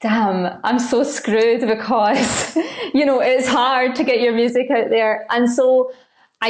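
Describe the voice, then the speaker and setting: A woman speaks with a Scottish accent and fairly even intonation. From Scotland. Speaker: content creator and singer-songwriter. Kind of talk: podcast interview. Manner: casual, many fillers.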